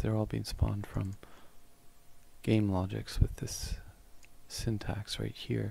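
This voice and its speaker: A soft-spoken man with a dark, mellow tone talks at a moderate pace in a fairly low voice. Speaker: gaming tutorial creator. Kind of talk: tutorial. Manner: casual with fillers.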